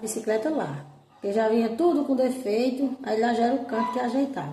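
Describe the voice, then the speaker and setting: With noticeable background noise behind her, a high-voiced woman with a northeastern Brazilian accent speaks at a moderate pace with ordinary pitch variation. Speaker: storyteller. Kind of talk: casual storytelling to camera about childhood memories. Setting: outdoors, rural farm with animal sounds.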